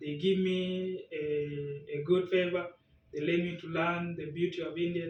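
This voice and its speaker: Noticeable background noise sits behind a man whose pitch is high and whose intonation is fairly even. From South Sudan. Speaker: language test candidate. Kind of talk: speaking exam interview. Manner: halting.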